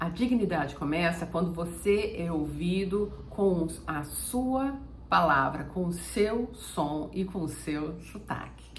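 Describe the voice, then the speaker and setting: In audible room echo over noticeable background noise, a woman speaks at a very slow pace with hardly any pauses. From Brazil. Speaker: German teacher. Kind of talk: motivational talk to camera.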